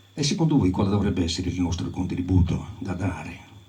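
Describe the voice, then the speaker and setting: Music plays in the background as the speaker goes at a moderate pace, with audible room echo. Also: man. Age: 70s. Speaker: folk tradition scholar. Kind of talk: talk to audience.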